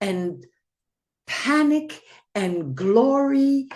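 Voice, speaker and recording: A woman with a Belgian accent and very wide pitch swings. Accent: Belgian Flemish accent in English. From Belgium (Flanders). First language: Flemish. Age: 80s+. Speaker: poet. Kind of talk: poetry reading.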